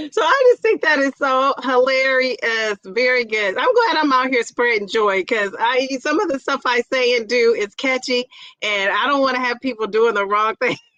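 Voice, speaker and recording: With a raised, projected voice and an animated tone, a woman speaks at a high pitch and a moderate pace, with ordinary pitch variation, hardly any pauses, and a dry, close sound with no echo. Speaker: YouTube livestream host. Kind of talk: casual livestream chat.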